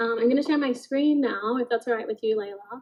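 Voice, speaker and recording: This woman has an Australian accent. Her pitch is fairly high. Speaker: artist. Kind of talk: artist talk presentation. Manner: hesitant, many fillers.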